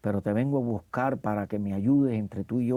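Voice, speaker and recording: Here a man talks at medium pitch with fairly even intonation. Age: 60s. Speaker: actor. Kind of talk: interview. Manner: halting.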